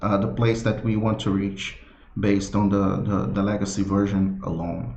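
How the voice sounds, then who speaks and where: A man with a non-native accent speaks amid audible room echo. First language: not English. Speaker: software developer presenting his product. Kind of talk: live product launch presentation. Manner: halting, many fillers and repetitions.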